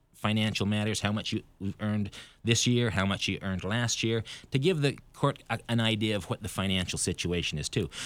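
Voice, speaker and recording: On a very clean recording with a silent background, a man with an American accent uses a normal speaking voice, fairly low in pitch with ordinary pitch variation. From Idaho. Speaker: bankruptcy lawyer. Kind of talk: radio interview.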